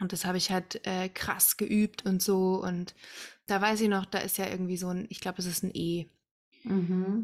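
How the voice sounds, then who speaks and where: A woman of medium pitch speaks at a moderate pace in a monotone, flat intonation on a very clean recording with a silent background. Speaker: podcast host, musical singer and mother. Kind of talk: casual chat.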